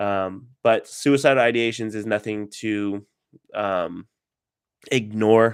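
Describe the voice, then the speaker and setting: The recording is very clean, with a silent background. A man with a fairly low pitch speaks in a fairly even tone, leaving long, frequent pauses. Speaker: counseling graduate student and vlogger. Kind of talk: casual livestream talk. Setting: livestream. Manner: hesitant, many fillers.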